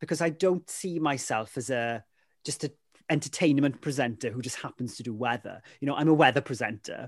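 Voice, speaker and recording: A man talks with a South Wales accent and ordinary pitch variation. The background is quiet. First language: Welsh. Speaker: weather presenter. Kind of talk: casual chat. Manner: animated.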